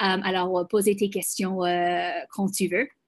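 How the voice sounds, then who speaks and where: Against a quiet background, a woman with a non-native accent talks at a very slow pace in a medium pitch. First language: English (speaking French). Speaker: global health program manager. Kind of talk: webinar presentation. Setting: video call. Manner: halting, many hesitations.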